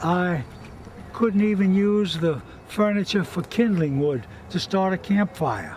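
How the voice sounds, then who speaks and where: A man's high-pitched voice, with ordinary pitch variation, moves at a fairly slow pace against noticeable background noise. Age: 80s+. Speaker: hurricane survivor. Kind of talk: interview.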